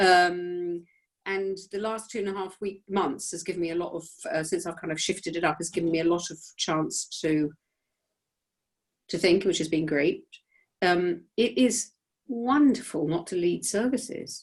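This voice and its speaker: Long, frequent pauses break up the speech of a woman with a British accent, who talks at a moderate pace in a fairly low voice with ordinary pitch variation. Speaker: rabbi. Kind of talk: casual chat. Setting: video call. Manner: loud.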